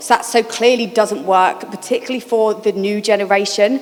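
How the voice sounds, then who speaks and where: Over noticeable background noise, a woman talks at a fairly quick pace in a fairly high pitch with ordinary pitch variation. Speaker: charity programme manager. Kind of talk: panel discussion. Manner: fast.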